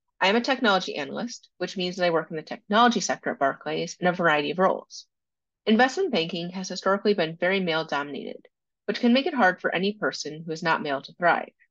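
Someone with an American accent speaks at a very fast pace with lively intonation, the sound dry with no echo and the background quiet. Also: woman. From US, Washington D.C. area. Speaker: technology analyst. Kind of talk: conference presentation. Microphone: webcam.

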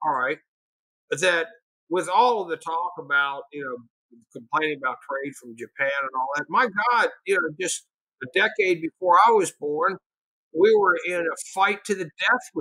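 Bright and sharp in tone, a man with an American accent speaks at a moderate pace in a high pitch, with lively intonation, big swings in loudness, a dry sound with no echo and a quiet background. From Pennsylvania and Tennessee (Chattanooga area); Pennsylvania; Tennessee. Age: 60s. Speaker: economics professor. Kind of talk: casual interview. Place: home room. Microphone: webcam.

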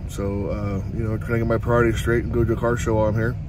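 Noticeable background noise behind a man's dry voice with no echo. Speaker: car show vlogger. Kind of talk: casual vlog chat. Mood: relaxed, joking. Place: car. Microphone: phone near.

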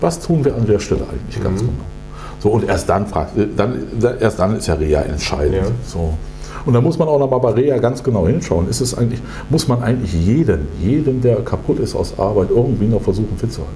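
A man talks at a fairly quick pace with very wide pitch swings. Light background noise can be heard. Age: 50s. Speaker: politician, pension spokesman. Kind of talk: interview answer. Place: meeting room.

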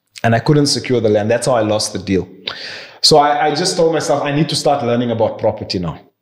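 Speaking at a very fast pace with ordinary pitch variation, a man is heard against a quiet background with audible room echo. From South Africa. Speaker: property investor and banker; podcast guest. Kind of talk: interview conversation. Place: office.

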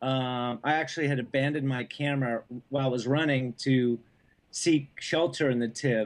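Keeping a moderate pace, a man speaks with fairly even intonation. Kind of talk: interview answer. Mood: relaxed, smiling. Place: home room. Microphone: video call.

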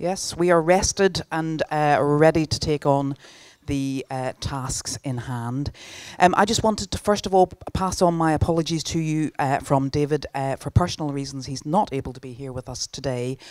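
A woman speaks at a moderate pace with a very deep, low pitch and ordinary pitch variation. Her loudness swings a lot, and the sound is dry with no echo against a quiet background. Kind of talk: welcome address. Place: hall. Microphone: handheld.

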